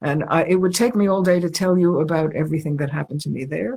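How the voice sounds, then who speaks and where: A woman with an American accent talks at a very fast pace, her pitch very deep and low. Her tone is dark and mellow, somewhat breathy, with ordinary pitch variation. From New York. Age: 80s+. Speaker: artist. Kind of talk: interview.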